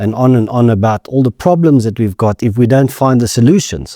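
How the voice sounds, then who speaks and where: With a South African accent, a man speaks in a dark, mellow tone, recorded very cleanly against a silent background. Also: dry, close sound with no echo. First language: Afrikaans. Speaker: insurance executive. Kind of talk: podcast interview.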